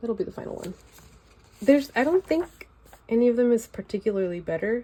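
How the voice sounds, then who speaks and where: A woman with a Valley Girl accent speaks at a fairly quick pace in a relaxed tone. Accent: Valley Girl accent, picked up in LA. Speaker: artist sharing sketchbook. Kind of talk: casual video walkthrough. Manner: relaxed, filler-heavy.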